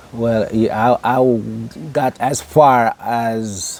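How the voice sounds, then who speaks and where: Over noticeable background noise, a man with an American accent speaks at a medium pitch. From Jamaica, Clarendon. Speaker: interviewee. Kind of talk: interview. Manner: halting.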